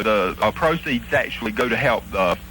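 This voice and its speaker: Through noticeable background noise, a man with an American accent speaks with very wide pitch swings. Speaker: hollering champion. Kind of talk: radio interview answer.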